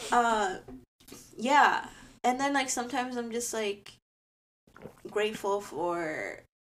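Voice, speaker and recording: Long, frequent pauses break up this very slow delivery, which has ordinary pitch variation and audible room echo. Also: woman, fairly high pitch for a woman. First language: bilingual Spanish and English. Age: 20s. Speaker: podcast co-host. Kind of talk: casual chat.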